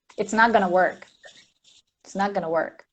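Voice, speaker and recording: This woman speaks with a Portuguese accent. Her pace is fairly quick, with ordinary pitch variation. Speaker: mindfulness teacher. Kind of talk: casual live chat. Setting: live stream.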